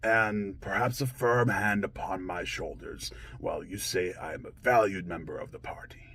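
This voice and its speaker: A man does a put-on character voice at a fairly low pitch and moderate pace. His loudness swings widely over light background noise. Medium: role play. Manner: dramatic, swinging between tender and furious.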